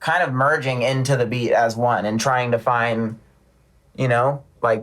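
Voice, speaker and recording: A man speaks loudly in an American accent. His pitch is medium, with ordinary variation. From US West Coast, San Diego. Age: 30s. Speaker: rapper. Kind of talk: casual chat.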